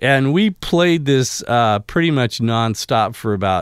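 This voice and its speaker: This man's voice swings very widely in pitch, recorded very cleanly against a silent background. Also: dry, close sound with no echo. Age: 50s. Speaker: cosplayer and commercial photographer. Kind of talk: casual interview chat. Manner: halting with many ums.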